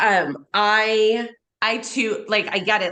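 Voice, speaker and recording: The voice is loud, with a bright, sharp tone. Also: woman. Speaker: podcast host. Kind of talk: casual chat.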